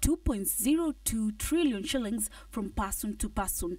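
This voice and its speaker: The voice is somewhat breathy with lively intonation, captured on a very clean recording with a silent background. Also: woman. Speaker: business reporter. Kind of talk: scripted news report voiceover.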